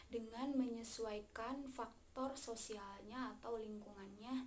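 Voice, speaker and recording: Fairly slow speech with fairly even intonation comes through audible room echo and noticeable background noise. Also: woman. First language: Sundanese (speaking Indonesian). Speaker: university student. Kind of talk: class presentation. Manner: halting, many fillers.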